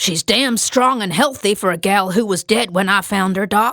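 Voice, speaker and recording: A female-sounding put-on character voice growls at a medium pitch. The pace is moderate. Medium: read story. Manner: gruff, blunt, skeptical.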